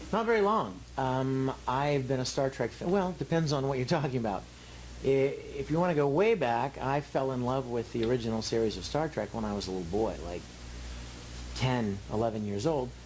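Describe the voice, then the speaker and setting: With a relaxed tone and lively intonation, a man speaks at a moderate pace in a medium pitch. Background noise is noticeable. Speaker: voice actor and actor. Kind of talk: interview answer. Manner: relaxed, conversational.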